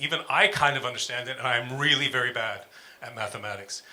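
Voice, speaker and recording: Very fast speech from a man, with ordinary pitch variation. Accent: New York. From US, New York. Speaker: music professor. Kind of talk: panel talk with slides.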